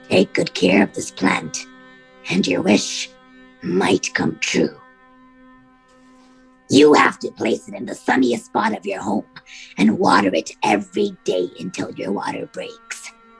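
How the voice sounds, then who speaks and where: A put-on character voice moves at a fairly slow pace with long, frequent pauses. Faint music plays in the background. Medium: stage play. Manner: gruff, imperious.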